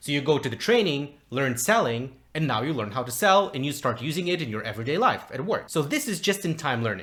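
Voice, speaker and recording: A man with a non-native accent speaks at a very fast pace and fairly high pitch. His pitch swings very widely, and he hardly pauses. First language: not English. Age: 20s. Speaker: communication coach. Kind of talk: tutorial.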